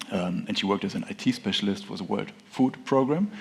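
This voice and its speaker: A man with a German accent at a fairly quick pace. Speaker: tech startup founder. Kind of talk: conference presentation.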